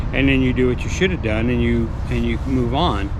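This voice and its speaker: At a moderate pace a man talks amid audible room echo and noticeable background noise. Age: 70s. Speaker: vlogger. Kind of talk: motivational talk. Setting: outdoors.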